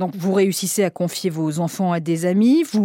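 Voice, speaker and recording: Pitch varies in an ordinary way at a moderate speed. The tone is dark and mellow. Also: woman. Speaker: radio podcast host. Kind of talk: scripted narration.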